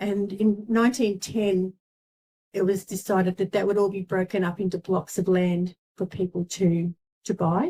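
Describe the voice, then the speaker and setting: In an Australian accent, a woman speaks at a moderate pace and medium pitch, with a dark, mellow tone and a somewhat breathy quality. Her intonation is monotone and flat, and the sound is dry and close with no echo. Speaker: local historian. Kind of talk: talk to a seniors' group. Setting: community centre talk with audience. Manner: halting, many ums.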